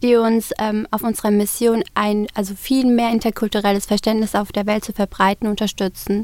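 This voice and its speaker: A woman with a normal speaking voice talks at a moderate pace and a fairly high pitch, the sound dry and close with no echo. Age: 20s. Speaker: student society officer. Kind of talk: interview. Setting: studio.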